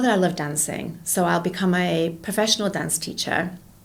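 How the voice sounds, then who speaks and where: In a British accent, a woman talks at a moderate pace with ordinary pitch variation, and audible room echo surrounds her voice. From England. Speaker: entrepreneur and educator. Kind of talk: interview conversation.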